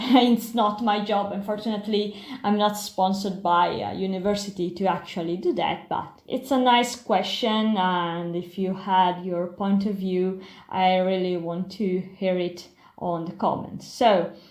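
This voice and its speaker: Heard with audible room echo, a woman with an Italian accent talks at a medium pitch with fairly even intonation. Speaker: pharmacy historian and biologist. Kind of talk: lecture. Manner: halting.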